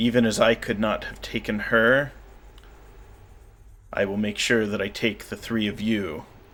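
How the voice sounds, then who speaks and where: A man puts on a raspy character voice at a medium pitch and a moderate pace. He leaves long, frequent pauses. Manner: menacing.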